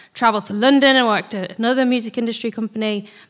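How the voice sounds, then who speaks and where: This woman's voice is fairly high, with a bright, sharp tone. She speaks at a very fast pace. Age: 20s. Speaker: church ministry worker. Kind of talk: panel discussion.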